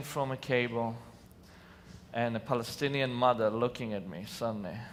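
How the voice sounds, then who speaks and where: Audible room echo surrounds a man talking at a moderate pace, his medium-pitched voice showing ordinary pitch variation and big swings in loudness. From Israel. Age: 40s. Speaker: nonviolence organization founder. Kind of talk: conference talk. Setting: stage with audience. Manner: passionate.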